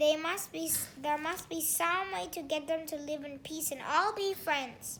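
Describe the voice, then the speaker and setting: A woman's put-on character voice with a high pitch and a moderate pace, over clear background noise. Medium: read story.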